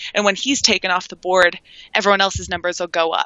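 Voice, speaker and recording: A woman at a medium pitch, with a Canadian accent, at a fairly quick pace. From Toronto, Canada. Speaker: sports betting handicapper. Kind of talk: interview.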